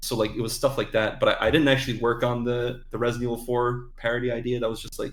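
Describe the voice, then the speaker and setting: A man speaks at a very fast pace and medium pitch. His delivery is monotone and flat, with hardly any pauses. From Ireland. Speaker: animator and voice actor. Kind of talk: casual interview chat. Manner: hesitant, many fillers.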